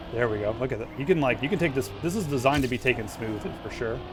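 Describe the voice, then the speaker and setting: Over music in the background, a man talks very fast in an animated tone at a medium pitch with ordinary pitch variation. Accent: Southern US. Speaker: gaming streamer. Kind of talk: live gameplay commentary. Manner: casual, animated.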